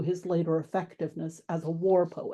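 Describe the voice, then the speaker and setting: A woman speaks in an American accent with a dark, mellow tone. Her pace is moderate and the background quiet. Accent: American, strong rhotic R. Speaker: classics professor. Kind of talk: lecture. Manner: formal.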